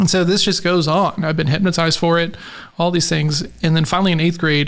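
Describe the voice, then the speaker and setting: A man's high-pitched voice at a fairly quick pace, monotone and flat, with very even loudness and audible room echo. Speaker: sales coach. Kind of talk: casual chat. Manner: halting.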